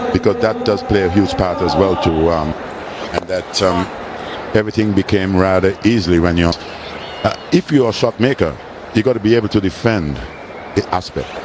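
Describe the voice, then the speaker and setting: With a Caribbean accent, the speaker moves at a fairly quick pace yet leaves long, frequent pauses. Loudness stays very even, pitch varies in an ordinary way, and background noise is noticeable. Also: man, fairly low pitch for a man. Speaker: former cricketer, guest commentator. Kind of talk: live commentary with chat. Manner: halting, many fillers.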